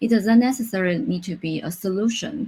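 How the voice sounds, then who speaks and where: At a moderate pace, a woman speaks at a medium pitch. Her voice is somewhat breathy, with ordinary pitch variation. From Taiwan. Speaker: UX designer. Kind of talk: conference talk. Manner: halting, with self-corrections.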